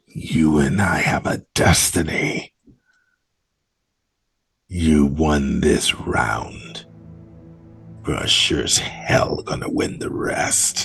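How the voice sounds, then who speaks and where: In a put-on character voice, a man speaks very slowly with a very deep, low pitch and a menacing tone, leaving long, frequent pauses while faint music plays in the background. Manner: nasty, menacing.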